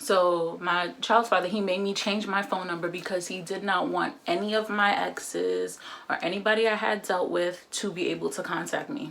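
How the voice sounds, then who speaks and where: A woman speaks with hardly any pauses. The room echoes audibly, and there is noticeable background noise. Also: medium pitch for a woman, ordinary pitch variation, moderate pace. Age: 20s. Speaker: vlogger. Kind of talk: casual chat. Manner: casual, filler-heavy.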